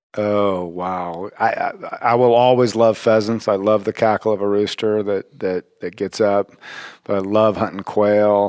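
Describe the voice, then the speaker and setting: A man with an American accent, fairly low pitch and monotone, flat intonation, the sound dry and close with no echo. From Colorado. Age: 50s. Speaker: retired hospitality worker and bird hunter. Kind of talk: casual interview chat. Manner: halting, frequent repetitions.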